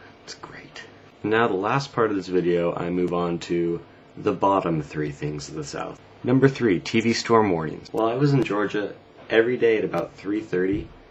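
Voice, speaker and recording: With an American accent, a man mumbles at a moderate pace in a fairly low pitch, his intonation lively, while noticeable background noise carries on behind him. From US West Coast. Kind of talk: casual talk to camera. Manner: mumbling.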